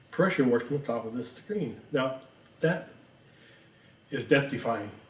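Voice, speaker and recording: Over noticeable background noise and audible room echo, a man speaks at a fairly slow pace with a medium pitch and ordinary pitch variation. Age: 70s. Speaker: real estate agent and show host. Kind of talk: casual interview.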